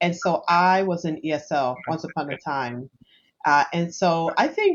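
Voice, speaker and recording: This woman speaks with a Spanish accent. Her pitch sits fairly low. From Panama. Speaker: HR consultant. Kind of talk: podcast interview.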